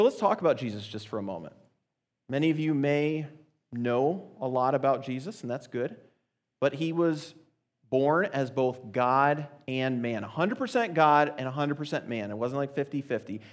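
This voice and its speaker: Using an unremarkable speaking voice, a man with a fairly high pitch talks at a moderate pace with lively intonation. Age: 30s. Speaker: youth speaker. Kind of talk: sermon.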